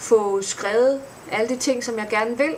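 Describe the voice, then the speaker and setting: Noticeable background noise behind a woman's very slow, fairly high-pitched speech with ordinary pitch variation. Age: 30s. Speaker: vlogger and blogger. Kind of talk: casual vlog introduction. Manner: hesitant, many fillers.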